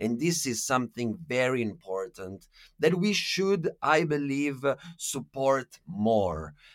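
Speaking at a very slow pace in an Italian accent, the voice makes very wide pitch swings. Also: man, medium pitch for a man. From Italy. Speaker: activist and podcaster. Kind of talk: casual interview. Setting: remote call.

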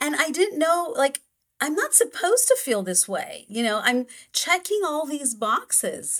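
The pitch swings very widely as the voice moves at a fairly slow pace. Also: woman. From Brazil. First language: Portuguese. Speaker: expat coach and intercultural psychologist. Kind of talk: interview. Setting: video call.

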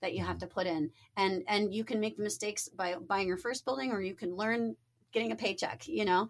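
With an American accent and an animated tone, a woman speaks fairly quickly at a medium pitch with vocal fry, in a very clean recording with a silent background. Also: ordinary pitch variation. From Niagara Falls, New York. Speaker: small-scale real estate developer. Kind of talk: casual interview. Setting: studio.

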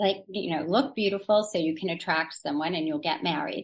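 A woman with an American accent talks in a somewhat breathy voice. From US South, New Orleans. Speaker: novelist. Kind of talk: interview.

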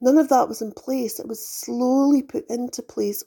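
A woman's voice carries a dark, mellow tone with ordinary pitch variation. The recording is very clean, the background silent. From UK. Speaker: spiritual podcast host. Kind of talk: spiritual monologue.

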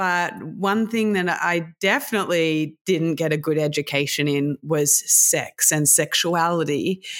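A fairly slow delivery with an Australian accent, very even loudness, ordinary pitch variation and hardly any pauses, in a very clean recording with a silent background. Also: woman, fairly low pitch for a woman. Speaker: sex tech entrepreneur and podcaster. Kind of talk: interview.

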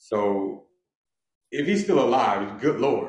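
With an American accent and vocal fry, a man speaks at a fairly slow pace with very wide pitch swings, and the room echo is audible. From Los Angeles, Inglewood. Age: 50s. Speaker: author and former criminal. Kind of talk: casual interview.

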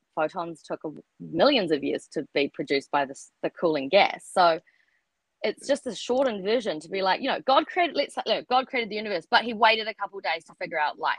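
Talking at a fairly quick pace in a New Zealand accent, a woman at a medium pitch shows very wide pitch swings and big swings in loudness. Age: 30s. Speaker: writer and artist. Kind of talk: casual chat. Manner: halting.

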